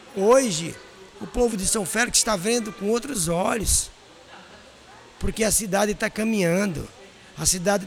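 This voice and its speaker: A man with a high voice and ordinary pitch variation talks at a moderate pace. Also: long, frequent pauses. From Brazil, Paraíba (Northeast). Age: 50s. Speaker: restaurant and hotel owner. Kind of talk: interview. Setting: at the guest's restaurant.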